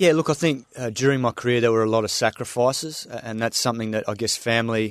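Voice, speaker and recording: This man speaks with an Australian accent. His pitch is medium. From Western Australia, Swan Valley near Perth. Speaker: former test cricketer and cricket commentator. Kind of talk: casual interview chat. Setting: radio studio.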